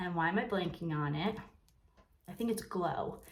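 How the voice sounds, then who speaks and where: A woman's somewhat breathy voice with lively intonation at a moderate pace, plus audible room echo. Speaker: makeup seller and vlogger. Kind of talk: makeup tutorial. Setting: sitting in her bathroom. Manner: soft-spoken; casual, filler-heavy.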